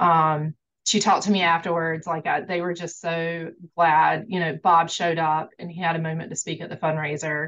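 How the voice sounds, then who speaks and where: A woman with a North Carolina accent, fairly low in pitch, with monotone, flat intonation, a moderate pace and big swings in loudness. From North Carolina, Greenville. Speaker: fundraiser organizer. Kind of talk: interview.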